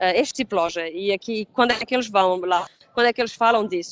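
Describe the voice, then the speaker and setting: A woman with a European Portuguese accent at a moderate pace, the sound dry with no echo. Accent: European Portuguese accent, noticeable. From Portugal. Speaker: pre-sales engineer. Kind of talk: webinar product presentation; webinar presentation. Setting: online webinar. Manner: halting, many fillers and restarts. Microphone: video call.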